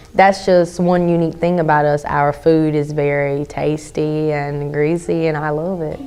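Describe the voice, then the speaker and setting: Over noticeable background noise, a woman with an American accent speaks in a very deep, low, flat monotone at a moderate pace, with hardly any pauses. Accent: Lumbee. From Robeson County, North Carolina (Lumbee). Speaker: interviewee, powwow dancer. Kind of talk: interview testimony.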